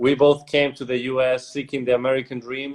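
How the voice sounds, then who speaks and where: In a Spanish accent, this voice moves at a moderate pace. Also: man. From Spain, Madrid. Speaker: entrepreneur. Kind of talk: casual interview.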